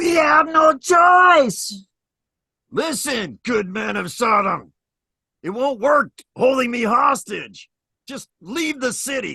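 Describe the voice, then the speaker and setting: A man uses a put-on character voice with extremely high pitch. He speaks very slowly with long, frequent pauses. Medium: solo performance. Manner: urgent, matter-of-fact.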